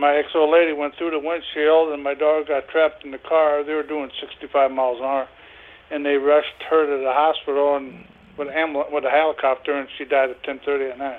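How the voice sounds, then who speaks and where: Delivered at a fairly quick clip, this is an unremarkable speaking voice. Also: man, fairly high pitch for a man. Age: 60s. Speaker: prank call target selling a lawnmower. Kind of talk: phone call.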